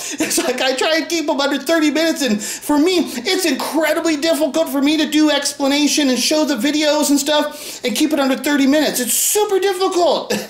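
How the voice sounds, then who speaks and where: A man speaks at a fairly quick pace in an extremely high pitch, with ordinary pitch variation and very even loudness. There are hardly any pauses, and noticeable background noise and audible room echo can be heard. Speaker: YouTube conspiracy theorist. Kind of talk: casual video commentary. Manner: fast; rambling, hesitant.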